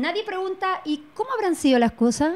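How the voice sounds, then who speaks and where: Moderate-paced speech from a woman. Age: 40s. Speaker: artist guest; guest. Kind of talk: casual chat. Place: studio. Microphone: handheld.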